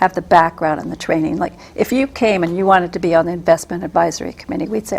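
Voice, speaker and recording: A woman's fairly low voice, very fast with hardly any pauses and ordinary pitch variation. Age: 60s. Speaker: political candidate. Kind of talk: interview. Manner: hesitant, many fillers.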